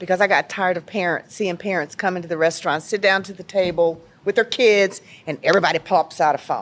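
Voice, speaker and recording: In an American accent, a woman with an unremarkable speaking voice talks at a fairly quick pace and medium pitch, with ordinary pitch variation and big swings in loudness. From Chicago. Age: 60s. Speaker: restaurant owner. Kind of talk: interview.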